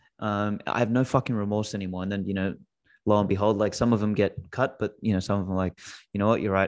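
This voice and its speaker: In an Australian accent, a man talks at a very fast pace with a fairly low pitch. The background is quiet. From Australia (Macedonian-speaking family). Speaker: Bitcoin company CEO and podcaster. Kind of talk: casual interview chat. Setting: remote call. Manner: animated, profane.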